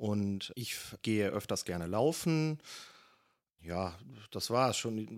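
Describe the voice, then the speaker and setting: A man with a fairly low voice speaks very slowly, leaving long pauses often. His intonation is lively, and the recording is very clean over a silent background. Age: 30s. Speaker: marksmen's club member and waste management manager. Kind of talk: interview. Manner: hesitant, many filler sounds.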